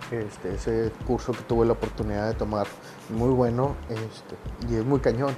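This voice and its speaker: A man's moderately paced speech against noticeable background noise. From Monterrey, Nuevo León, Mexico. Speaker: podcaster. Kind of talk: casual monologue. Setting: home recording during quarantine.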